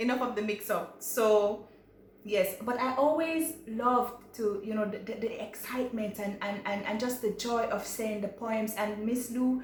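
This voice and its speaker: A woman with a Jamaican accent, fairly high in pitch, at a fairly slow pace with ordinary pitch variation, and music in the background. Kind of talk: casual talk to camera.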